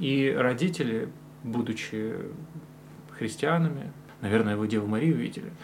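Delivery is at a moderate pace with lively intonation and long, frequent pauses. Noticeable background noise and audible room echo are present. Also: man, medium pitch for a man. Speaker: podcast host, religious studies graduate. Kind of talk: casual interview.

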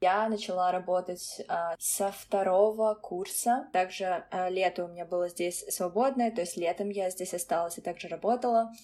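With hardly any pauses, a woman talks at a moderate pace in a medium pitch, her intonation fairly even and her tone dark and mellow. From Russia (Kazan). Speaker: former international college student. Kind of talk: interview. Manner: hesitant, filler-heavy.

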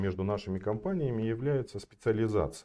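A man is talking. The movement of his pitch is ordinary. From Kazakhstan (north, Kostanay; school in Almaty). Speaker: flooring company sales director. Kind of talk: podcast interview.

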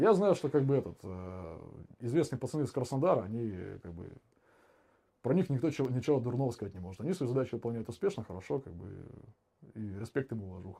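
A man with a dark, mellow, somewhat breathy voice talks at a very fast pace, with very wide pitch swings, big swings in loudness and long, frequent pauses, on a very clean recording with a silent background. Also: medium pitch for a man. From Saint Petersburg, Russia. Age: 20s. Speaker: war veteran. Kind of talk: casual chat. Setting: live stream.

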